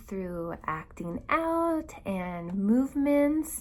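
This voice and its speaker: A woman speaks softly, her voice somewhat breathy. Her tone is calm. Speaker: elementary school teacher. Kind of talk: prepared video statement. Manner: calm, soft-spoken.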